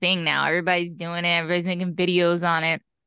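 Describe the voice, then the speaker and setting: In a plain, everyday voice, a woman with an American accent talks at a fairly quick pace and a fairly low pitch, the sound dry and close with no echo against a quiet background. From Pennsylvania (East Stroudsburg, Poconos). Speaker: fitness and wellness coach. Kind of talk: casual interview.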